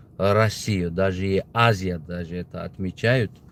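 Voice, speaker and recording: At a very slow pace, a man speaks in a fairly low voice with fairly even intonation. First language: Tajik (speaking Russian). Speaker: political video blogger. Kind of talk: casual opinion monologue. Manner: halting, many fillers.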